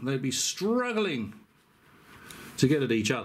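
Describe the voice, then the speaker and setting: Noticeable background noise sits behind a man with an English accent. His fairly high pitch makes very wide swings at a moderate pace. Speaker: YouTuber. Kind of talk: casual video commentary. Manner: hesitant.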